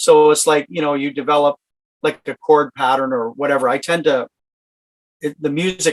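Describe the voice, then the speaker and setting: A man with a Canadian accent speaks at a moderate pace, the sound dry and close with no echo. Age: 50s. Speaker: singer-songwriter. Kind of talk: interview. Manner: halting.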